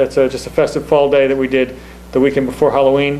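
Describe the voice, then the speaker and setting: A man speaks over noticeable background noise. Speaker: town recreation commission chair. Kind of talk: public meeting presentation. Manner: fast; halting, many fillers.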